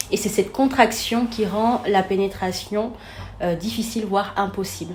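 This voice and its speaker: Against noticeable background noise, a woman at a medium pitch speaks fairly slowly with fairly even intonation. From Senegal. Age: 30s. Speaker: therapist and coach. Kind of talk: interview.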